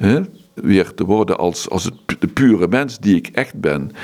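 A man at a fairly slow pace, with lively intonation. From Netherlands, Limburg (Maastricht). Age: 70s. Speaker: monk. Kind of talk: interview. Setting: monastery.

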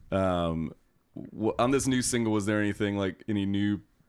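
A man talks in an ordinary speaking voice at a fairly low pitch and a fairly quick pace. The recording is very clean, with a silent background. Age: 30s. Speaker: radio host and record label co-founder. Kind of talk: casual chat. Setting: studio.

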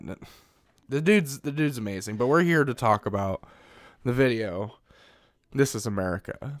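Recorded very cleanly against a silent background, a man with a plain, everyday voice speaks at a moderate pace with ordinary pitch variation. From Missouri, US Midwest. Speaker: podcast host. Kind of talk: casual chat.

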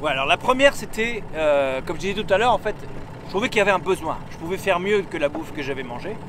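Against noticeable background noise, a man in an animated tone speaks at a very fast pace and high pitch with lively intonation. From northern France, Lille. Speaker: adventurer and entrepreneur. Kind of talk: casual interview. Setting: in a car.

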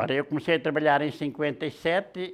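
The recording is very clean, with a silent background. A man talks at a very slow pace with fairly even intonation. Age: 80s+. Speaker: blacksmith, shears maker. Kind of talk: interview storytelling.

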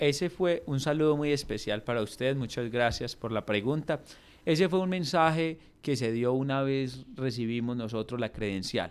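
A man's medium-pitched, moderately paced delivery in an ordinary speaking voice, with ordinary pitch variation on a very clean recording with a silent background. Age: 20s. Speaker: mayor. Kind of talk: radio interview. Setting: radio studio.

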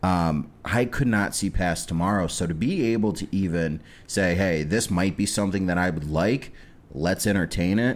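A man with a Midwestern American accent speaks in a very deep, low voice. His pace is moderate, and his pitch varies in an ordinary way. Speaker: podcast host. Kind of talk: casual chat. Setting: studio.

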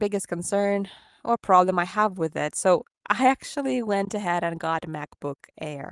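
With a Ukrainian accent, a woman at medium pitch speaks at a moderate pace with lively intonation, in a dry, close sound with no echo. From Ukraine. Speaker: VR content creator. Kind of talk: casual chat. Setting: video call.

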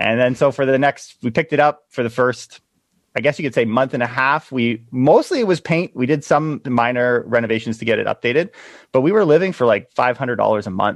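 In a dry, close sound with no echo and a quiet background, a man talks at a fairly quick pace at medium pitch with ordinary pitch variation. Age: 30s. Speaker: realtor and real estate investor. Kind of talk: interview conversation. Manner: fast, loud.

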